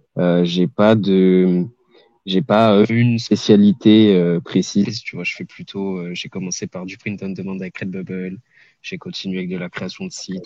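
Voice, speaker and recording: A man's very deep, low voice with a dark, mellow tone, fairly even intonation and big swings in loudness, dry and close with no echo, over a quiet background. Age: 20s. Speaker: online entrepreneur, scraping specialist. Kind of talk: podcast interview. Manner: hesitant, many filler sounds.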